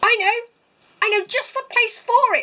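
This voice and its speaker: Squeaky and extremely high, a woman's put-on character voice comes through. Her pace is moderate. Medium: read story.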